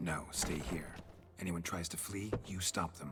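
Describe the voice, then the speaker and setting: With clear music in the background, a man performs a put-on character voice at a very deep, low pitch. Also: moderate pace. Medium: video game. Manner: clipped, terse.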